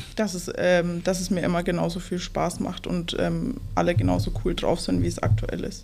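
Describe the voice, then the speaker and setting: A woman speaks at a moderate pace with hardly any pauses, and audible room echo fills the recording. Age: 20s. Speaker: trainee. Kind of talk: casual interview.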